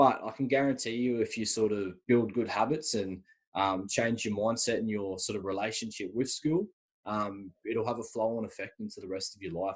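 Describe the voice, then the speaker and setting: A man with an Australian accent speaks at a medium pitch with ordinary pitch variation. The background is quiet. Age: 20s. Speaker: university student. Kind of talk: podcast interview. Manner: fast.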